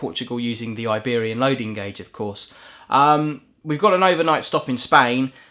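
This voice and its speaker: On a very clean recording with a silent background, a man speaks at medium pitch in a bright, sharp tone with ordinary pitch variation. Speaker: train driver vlogger. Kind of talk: casual vlog monologue. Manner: fast.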